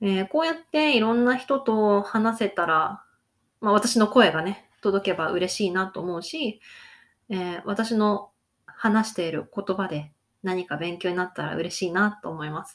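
A woman in a plain, everyday voice speaks at a fairly slow pace, with lively intonation and big swings in loudness. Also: medium pitch for a woman. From Hokkaido, Japan. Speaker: Japanese language teacher, podcaster. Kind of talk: casual monologue for Japanese learners. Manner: casual, frequent fillers.

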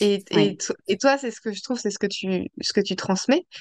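At a fairly slow pace, a woman with a normal speaking voice talks at medium pitch, the sound dry and close with no echo. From Paris region, France. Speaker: podcast host. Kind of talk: interview conversation.

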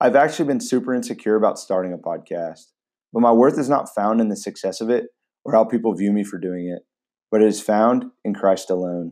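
A man in a normal speaking voice talks at a fairly quick pace with a fairly low pitch and ordinary pitch variation. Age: 20s. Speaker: podcast host and high school teacher. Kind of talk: scripted podcast monologue.

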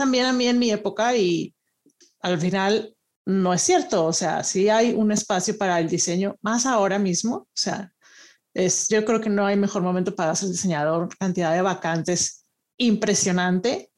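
On a very clean recording with a silent background, a woman uses a normal speaking voice at medium pitch, moving at a moderate pace with ordinary pitch variation. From Monterrey, northern Mexico. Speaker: design researcher. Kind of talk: interview.

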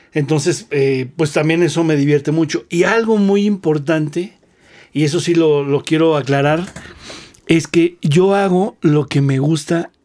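This is a plain, everyday voice at a fairly slow pace. Its loudness stays very even, with ordinary pitch variation. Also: man, fairly high pitch for a man. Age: 40s. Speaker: drummer. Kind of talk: casual chat.

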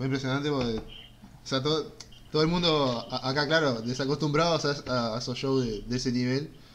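Audible room echo surrounds a man talking at a fairly quick pace with a Rioplatense accent. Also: medium pitch for a man, ordinary pitch variation. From Argentina. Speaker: podcast host. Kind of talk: casual interview. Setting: live stream.

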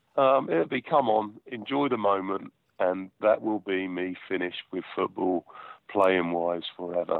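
A man with a southern English accent, very deep and low in pitch, at a moderate pace with ordinary pitch variation. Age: 40s. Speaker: football goalkeeper. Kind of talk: interview.

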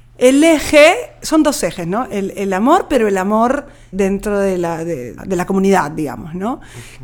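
A woman speaks at a moderate pace and a medium pitch, her pitch swinging very widely. Noticeable background noise is present. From Peru, Lima. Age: 40s. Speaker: poet. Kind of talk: interview.

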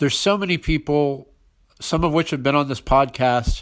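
A man with a fairly high pitch and an ordinary speaking voice talks at a moderate pace on a very clean recording with a silent background. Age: 40s. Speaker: podcast host and music writer. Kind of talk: scripted intro monologue.

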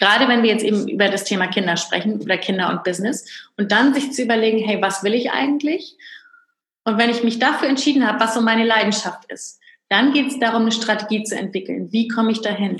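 A woman talks very fast at a fairly high pitch, her pitch varying in an ordinary way. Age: 30s. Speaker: entrepreneur and business coach. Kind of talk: interview.

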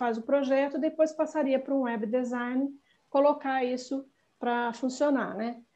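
A woman's high-pitched voice with a dark, mellow tone, fairly even intonation, and a moderate pace. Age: 60s. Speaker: longevity activist. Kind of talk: interview.

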